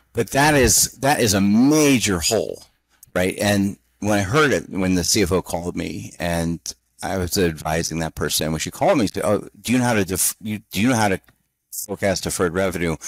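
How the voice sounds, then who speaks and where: An ordinary speaking voice moves at a fairly quick pace with lively intonation. The recording is very clean with a silent background, its sound dry and close with no echo. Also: man, fairly low pitch for a man. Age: 50s. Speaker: interim CFO consultant. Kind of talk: interview.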